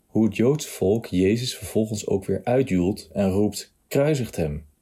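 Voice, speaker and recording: A man with a plain, everyday voice speaks at a fairly slow pace with ordinary pitch variation. The recording is very clean, with a silent background. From Nijmegen, Netherlands. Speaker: churchgoer giving testimony. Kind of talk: testimony, read from text.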